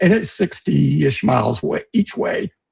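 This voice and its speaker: A man with a dark, mellow, somewhat breathy tone speaks at a moderate pace, the sound dry and close with no echo. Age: 60s. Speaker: livestream host. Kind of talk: casual chat. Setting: livestream. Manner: halting.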